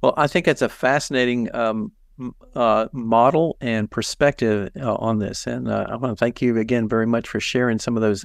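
A man speaks at a moderate pace and medium pitch against a quiet background. It is an ordinary speaking voice. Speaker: massage therapy educator. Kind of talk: casual expert conversation.

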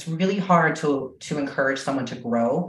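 A woman at a moderate pace with ordinary pitch variation, in audible room echo. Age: 30s. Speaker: physical therapist and strength coach. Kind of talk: podcast interview.

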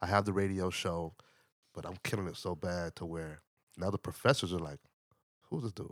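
A man with a very deep, low voice speaks at a fairly quick pace with fairly even intonation, long, frequent pauses and big swings in loudness. The recording is very clean with a silent background and a dry, close sound with no echo. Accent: American. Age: 50s. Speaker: musician and radio DJ. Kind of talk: casual chat. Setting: studio.

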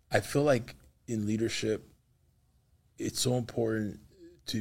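Somewhat breathy, this man's voice sits at a fairly low pitch. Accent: American. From Los Angeles. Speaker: pastor and podcast host. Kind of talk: faith interview. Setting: studio. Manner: animated.

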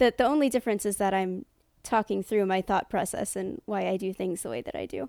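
Woman with an unremarkable speaking voice, lively intonation and a fairly quick pace, on a very clean recording with a silent background. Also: medium pitch for a woman. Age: 20s. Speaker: Twitch streamer. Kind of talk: casual interview.

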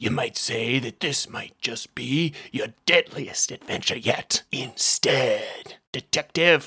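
The voice is gravelly and raspy. It moves at a fairly slow pace with hardly any pauses. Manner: menacing.

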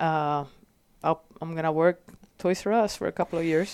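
A woman with a Puerto Rican accent, fairly low in pitch, with fairly even intonation, a moderate pace, and a dry, close sound with no echo. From Puerto Rico. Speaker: firefighter, captain and mentor. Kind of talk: casual interview chat.

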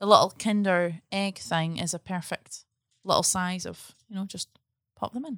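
A woman with a medium pitch and ordinary pitch variation speaks at a moderate pace, her loudness swinging widely. The recording is very clean with a silent background and a dry, close sound with no echo. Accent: Scottish. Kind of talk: casual chat. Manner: animated.

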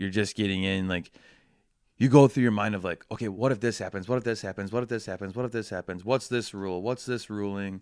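The speaker has an Upper Midwest accent and fairly even intonation. The delivery moves at a fairly quick pace. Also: man. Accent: Upper Midwest American. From Wisconsin (Waupun). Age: 20s. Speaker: baseball umpire and hockey coach. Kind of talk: interview.

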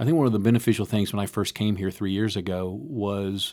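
Here a man has an unremarkable speaking voice, fairly low in pitch with ordinary pitch variation. His pace is fairly quick, and the recording is very clean over a silent background. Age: 60s. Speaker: university president and former pastor. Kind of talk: casual interview. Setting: studio.

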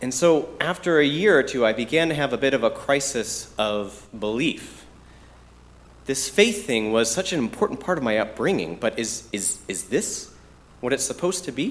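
His pitch is fairly high and swings very widely. The man talks at a moderate pace. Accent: American. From Metro Detroit, US Midwest. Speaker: preacher. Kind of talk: sermon. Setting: church.

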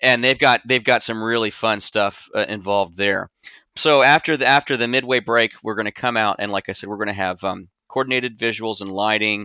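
A man speaks fairly quickly, his intonation fairly even. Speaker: musician and event organizer. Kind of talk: podcast interview.

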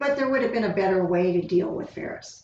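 Speaking in an American accent, a woman keeps to a medium pitch. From Southern California. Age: 60s. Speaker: school district administrator. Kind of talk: casual interview.

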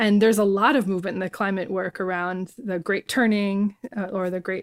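A woman speaks in a plain, everyday voice at medium pitch and a moderate pace, with fairly even intonation. The recording is very clean, with a silent background and a dry, close sound with no echo. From New Jersey, Bayonne. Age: 40s. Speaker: Buddhist scholar and social activist. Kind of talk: casual interview conversation.

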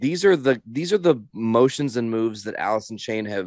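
A man with an unremarkable speaking voice and lively intonation at a moderate pace, on a very clean recording with a silent background. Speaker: podcast co-host. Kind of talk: casual podcast chat ranking songs. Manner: joking, playful.

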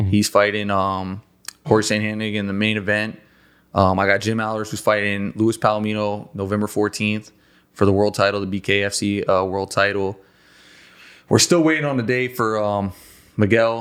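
An unremarkable speaking voice comes from a man with an American accent, pitched fairly low. He keeps a moderate pace and fairly even intonation in a very clean recording with a silent background. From South Florida. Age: 30s. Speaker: boxing trainer. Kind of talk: casual interview. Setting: studio.

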